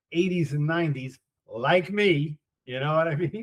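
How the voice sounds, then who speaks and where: The speaker has an American accent, a somewhat breathy sound and ordinary pitch variation. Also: man. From New York, Queens. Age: 60s. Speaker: podcast host. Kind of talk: casual chat. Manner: halting.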